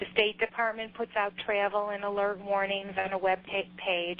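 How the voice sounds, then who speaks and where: Her intonation is monotone and flat. The woman speaks with an American accent. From US Midwest, Chicago. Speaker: government trade official. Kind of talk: business presentation. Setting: teleconference. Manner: halting, many fillers.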